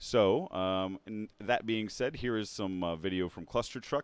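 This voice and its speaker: Fairly low in pitch, a man with an American accent and a normal speaking voice talks at a moderate pace. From South Texas, San Antonio. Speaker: board game channel host. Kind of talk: live stream chat. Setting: live stream on social media. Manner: casual, many fillers.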